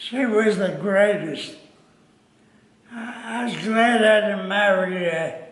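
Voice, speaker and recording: Against noticeable background noise, a man talks at a very slow pace in a high voice. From Italy. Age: 80s+. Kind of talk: interview answer. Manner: hesitant, slow.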